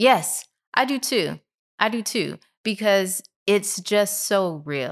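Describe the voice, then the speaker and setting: With vocal fry and lively intonation, a woman at medium pitch talks very slowly with long, frequent pauses on a very clean recording with a silent background. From Tennessee, then St. Louis. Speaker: bakery and restaurant owner, chef. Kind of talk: casual interview.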